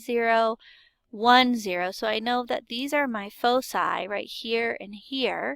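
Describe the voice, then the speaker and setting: A woman uses a raised, projected voice with a bright, sharp tone. The recording is very clean, with a silent background. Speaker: math teacher. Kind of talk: recorded lesson. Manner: hesitant fillers.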